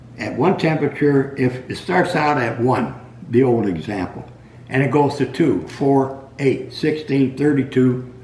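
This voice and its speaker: A man speaks at a fairly slow pace. Audible room echo hangs around his words. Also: medium pitch for a man, ordinary pitch variation. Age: 80s+. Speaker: retired meat cutter. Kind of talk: casual storytelling monologue. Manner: halting.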